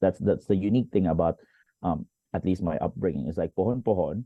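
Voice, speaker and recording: Speaking at a fairly quick pace with a Filipino accent, a man with a very deep, low voice uses ordinary pitch variation. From Philippines, Valenzuela (Metro Manila). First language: Tagalog. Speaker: teacher and motivational speaker. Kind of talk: interview.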